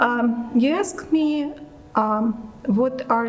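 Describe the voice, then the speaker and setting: A woman talks in a fairly high voice with ordinary pitch variation, and background noise is noticeable. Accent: Russian. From Russia, Moscow. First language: Russian. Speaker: immigrant interviewee. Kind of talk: interview testimony. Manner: hesitant, many fillers.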